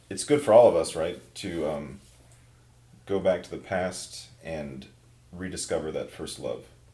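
With long, frequent pauses and big swings in loudness, a man in an American accent talks at a fairly slow pace amid audible room echo. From Minnesota. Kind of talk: casual chat.

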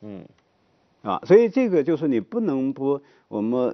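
A man's plain, everyday voice with lively intonation at a fairly quick pace. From rural China. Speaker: economics professor. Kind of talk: talk show discussion.

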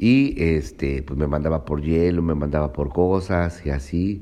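Very deep, low male voice showing ordinary pitch variation. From Mexico, Veracruz (Cuitláhuac). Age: 40s. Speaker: cook. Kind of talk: personal testimony. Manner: hesitant, many fillers.

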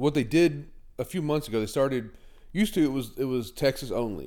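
A man's medium-pitched voice, dark and mellow in tone, with lively intonation. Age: 40s. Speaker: podcast host. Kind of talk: casual chat.

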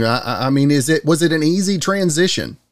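A high-pitched man at a moderate pace with lively intonation. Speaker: podcast host. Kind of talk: interview.

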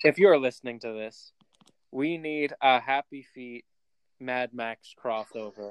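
Using a plain, everyday voice, someone speaks at a fairly slow pace with ordinary pitch variation, and the sound is dry and close with no echo. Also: man, medium pitch for a man, big swings in loudness. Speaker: podcast host. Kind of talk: casual chat. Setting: remote recording.

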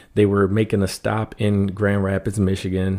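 On a very clean recording with a silent background, a man with an American accent speaks. His dark, mellow voice sits fairly low in pitch and moves at a fairly slow pace. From US, Washington D.C. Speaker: artist and prison ministry volunteer. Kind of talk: casual interview.

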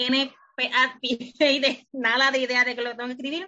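A woman with a Puerto Rican accent speaks at a high pitch and a fairly slow pace. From Puerto Rico (Lajas). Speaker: author. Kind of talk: interview.

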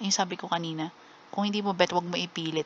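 A woman's fairly quick, fairly low-pitched voice in a monotone, flat intonation. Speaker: podcast host. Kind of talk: casual solo monologue. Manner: halting, stammering at times.

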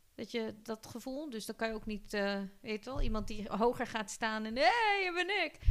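A woman's fairly high voice with lively intonation, a moderate pace, hardly any pauses, and noticeable background noise. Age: 40s. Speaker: podcast host. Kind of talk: casual chat.

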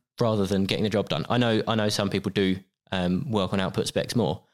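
In a very clean recording with a silent background, a man uses a normal speaking voice at a fairly low pitch, talking at a fairly quick pace with ordinary pitch variation. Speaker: managing director of a janitorial supply company. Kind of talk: interview conversation.

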